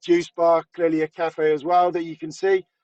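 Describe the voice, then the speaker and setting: A high-pitched male voice with a British accent, flat and monotone, at a moderate pace, dry and close with no echo. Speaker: retail industry presenter. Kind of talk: webinar presentation.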